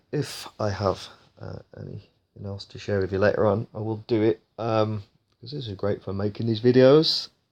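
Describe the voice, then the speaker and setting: A man with a British accent and a fairly low pitch, ordinary pitch variation and big swings in loudness, against a quiet background. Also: moderate pace. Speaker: gaming youtuber. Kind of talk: gameplay commentary. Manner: casual, animated.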